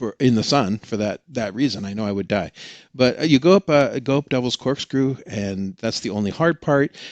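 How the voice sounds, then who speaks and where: A man's ordinary speaking voice in an American accent, at a fairly quick pace with ordinary pitch variation, dry and close with no echo. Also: quiet background. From Oregon. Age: 60s. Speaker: experienced hiker, tech salesman. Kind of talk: podcast interview.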